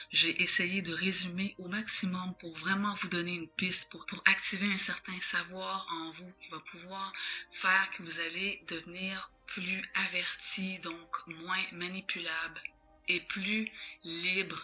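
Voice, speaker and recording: Music plays behind a woman speaking at a very slow pace in a monotone, flat intonation. Her loudness swings widely. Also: medium pitch for a woman. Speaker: spiritual teacher, channel owner. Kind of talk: spiritual teaching monologue.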